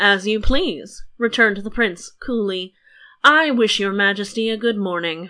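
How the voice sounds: The pitch varies in an ordinary way. It comes from a natural reading voice.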